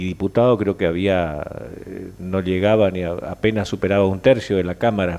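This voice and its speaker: In a very deep, low pitch, a man speaks at a moderate pace with fairly even intonation. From Argentina. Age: 60s. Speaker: senator. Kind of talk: interview. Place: studio. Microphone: headset.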